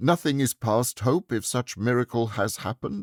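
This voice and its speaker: Using a put-on character voice at a medium pitch, a man is heard in a dry, close sound with no echo. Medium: read story.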